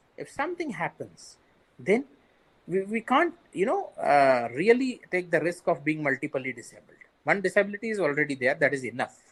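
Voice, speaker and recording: A man with an Indian accent, a high pitch for a man, very wide pitch swings and a moderate pace. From India, Marathi-speaking region. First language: Sindhi. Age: 40s. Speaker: bank manager with visual impairment. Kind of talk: interview.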